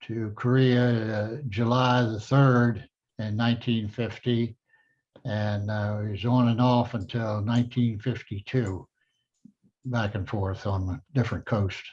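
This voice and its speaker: A man talks at a fairly slow pace and medium pitch. His intonation stays monotone and flat over a quiet background. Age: 90s. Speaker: Korean War navy veteran. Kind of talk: interview. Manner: halting.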